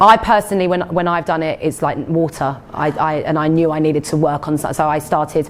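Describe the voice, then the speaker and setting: A woman's very deep, low voice in an Essex accent, fairly quick with hardly any pauses and fairly even intonation. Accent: Essex Cockney, comes through sometimes. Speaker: nurse and nutritional therapist giving a talk. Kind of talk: health talk Q&A with audience.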